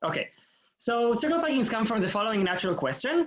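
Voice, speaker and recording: Talking at a very fast pace, a man makes very wide pitch swings. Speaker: graduate student lecturer. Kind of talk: lecture. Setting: video call. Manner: hesitant, many fillers.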